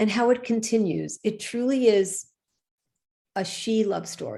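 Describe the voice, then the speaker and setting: A woman speaks at a fairly slow pace with a slight New York accent. Her tone is dark and mellow. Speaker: show co-host. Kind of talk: live show chat. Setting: live online broadcast.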